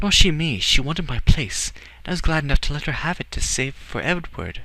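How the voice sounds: Put-on character voice with vocal fry, big pitch swings, a bright, sharp tone and a fairly quick pace. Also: man, fairly high pitch for a man.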